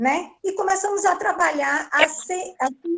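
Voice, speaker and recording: At a very slow pace, a woman speaks with lively intonation. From Brazil, Salvador da Bahia. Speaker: volunteer with Brazilian women's group abroad. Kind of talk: testimony in live online talk.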